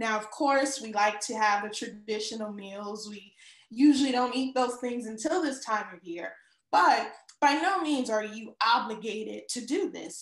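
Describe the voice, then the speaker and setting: At a moderate pace and with ordinary pitch variation, a woman speaks amid audible room echo over a quiet background. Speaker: show co-host. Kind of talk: casual talk show chat. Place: home room. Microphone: video call.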